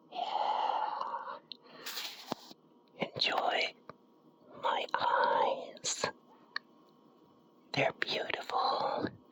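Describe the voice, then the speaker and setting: A whisper at a very slow pace, with long, frequent pauses and noticeable background noise. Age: middle-aged. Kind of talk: ASMR whisper to camera. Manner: whispered.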